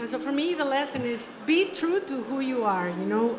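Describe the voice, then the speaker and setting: Over noticeable background noise and audible room echo, a woman talks at a moderate pace in a high pitch. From Mexico. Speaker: conservation photographer. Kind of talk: interview.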